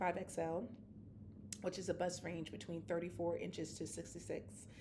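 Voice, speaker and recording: Speaking at a moderate pace, a woman with a fairly low pitch and a dark, mellow tone shows vocal fry, and the room echo is audible. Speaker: knitting vlogger. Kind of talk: casual chat. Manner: halting, many fillers.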